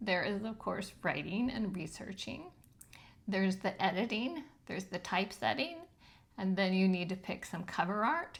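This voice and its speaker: Medium in pitch and somewhat breathy, a woman talks at a moderate pace. Her pitch varies in an ordinary way. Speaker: self-published author and video host. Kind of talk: tutorial. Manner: casual with frequent filler ums.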